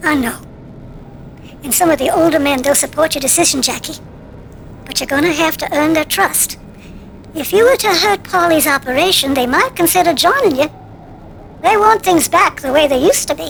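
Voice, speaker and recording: A woman puts on a character voice with an extremely high pitch and a warm tone over clear background noise. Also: fairly quick pace, lively intonation. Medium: video game. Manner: warm, motherly.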